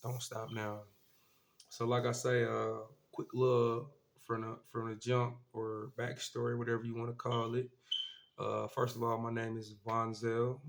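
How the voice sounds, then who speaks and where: Against noticeable background noise, a man speaks at a fairly slow pace. His medium-pitched voice is flat and monotone. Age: 20s. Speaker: vlogger. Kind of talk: casual monologue. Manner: casual, halting with fillers.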